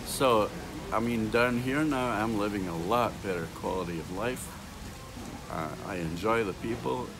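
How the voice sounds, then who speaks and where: Over music in the background and with audible room echo, a man speaks at a fairly low pitch and a fairly slow pace, his intonation lively. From Scotland. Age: 70s. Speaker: retired airline pilot. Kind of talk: street interview. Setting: outdoors, downtown street.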